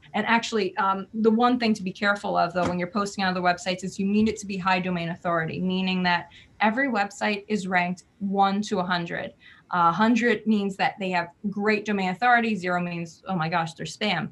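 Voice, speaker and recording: Using an ordinary speaking voice, a woman talks at a fairly quick pace in a medium pitch with fairly even intonation. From New Jersey. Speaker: PR and marketing business owner. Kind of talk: interview.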